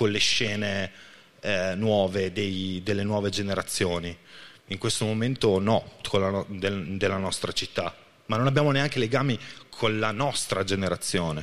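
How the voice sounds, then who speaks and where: Talking at a fairly slow pace, a man has an ordinary speaking voice, fairly low in pitch with ordinary pitch variation. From Reggio Emilia area, Italy. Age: 40s. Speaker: rapper contestant. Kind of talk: jury Q&A on stage. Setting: stage with audience.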